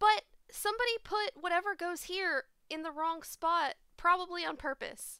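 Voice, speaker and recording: Cheerful and projected, a woman's extremely high, bright, sharp voice moves with ordinary pitch variation in a dry, echo-free sound over a quiet background. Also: moderate pace. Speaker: live streamer hosting a game night. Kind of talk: casual chat while gaming. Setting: online voice chat, at home with webcam. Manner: laughs often, cheerful. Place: home room. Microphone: headset.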